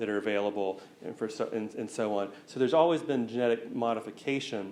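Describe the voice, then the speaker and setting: A man with an American accent speaks very fast at a medium pitch. His pitch varies in an ordinary way, and audible room echo is present. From US South, east Tennessee. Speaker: researcher giving public talk. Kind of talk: lecture Q&A. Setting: museum talk with live audience.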